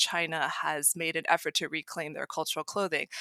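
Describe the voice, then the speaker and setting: A woman talks with an ordinary speaking voice and an American accent. Her pace is moderate and her pitch variation ordinary. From US, Maryland outside Washington DC. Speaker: costumer and cosplayer, software engineer. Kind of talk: interview.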